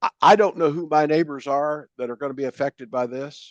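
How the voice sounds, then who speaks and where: A voice in an American accent with ordinary pitch variation, the sound dry and close with no echo, over a quiet background. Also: man. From South Carolina. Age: 80s+. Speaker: guest speaker. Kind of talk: group discussion on video call. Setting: video call. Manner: stammering repetitions; blunt, emphatic.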